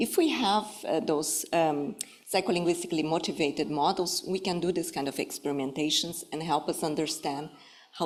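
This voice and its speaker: With a Brazilian Portuguese accent, a woman speaks at a moderate pace in a very deep, low voice with ordinary pitch variation. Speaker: professor. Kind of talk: lecture. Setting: stage with audience. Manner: formal; halting, many fillers.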